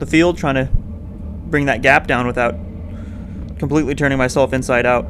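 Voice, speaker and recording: Against noticeable background noise, a man speaks at a fairly quick pace. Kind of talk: commentary.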